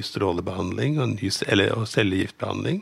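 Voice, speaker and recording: Fairly quick speech from a man with vocal fry, a fairly low pitch and ordinary pitch variation, on a very clean recording with a silent background. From Norway, Lillestrøm. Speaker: newspaper editor. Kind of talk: casual chat.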